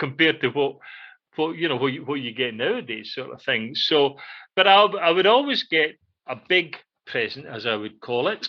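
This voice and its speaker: A man with a Scottish accent and a bright, sharp tone talks at a moderate pace and fairly high pitch, swinging very widely in pitch against a quiet background. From central Scotland, near Glasgow. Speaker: radio show co-host. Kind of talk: casual chat. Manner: halting, many fillers.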